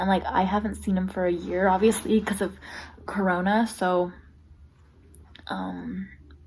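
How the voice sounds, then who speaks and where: A woman talking at a moderate pace. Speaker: lifestyle vlogger. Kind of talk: casual vlog talk to camera. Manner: casual, filler-heavy.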